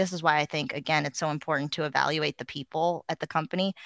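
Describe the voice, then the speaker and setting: Against a quiet background, a woman speaks with vocal fry at a very deep, low pitch, the sound dry and close with no echo. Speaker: product marketing director. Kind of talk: interview, casual conversation.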